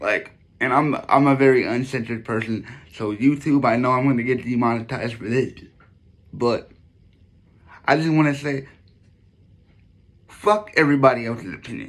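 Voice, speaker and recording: Moderate pace from a man, broken by long, frequent pauses. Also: medium pitch for a man, ordinary pitch variation. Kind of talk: casual vlog monologue. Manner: animated; repetitive, halting.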